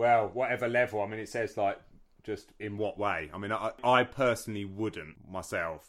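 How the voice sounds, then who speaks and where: Fairly low in pitch, a man speaks at a moderate pace with a southern English accent. The recording is very clean and the background silent. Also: ordinary pitch variation. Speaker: podcast co-host, martial arts instructor. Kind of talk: casual chat.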